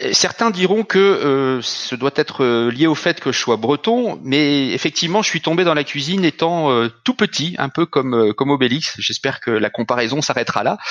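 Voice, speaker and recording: A man with a fairly high pitch talks at a moderate pace with lively intonation. He leaves hardly any pauses. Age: 40s. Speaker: company executive. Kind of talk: interview. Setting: video call. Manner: halting.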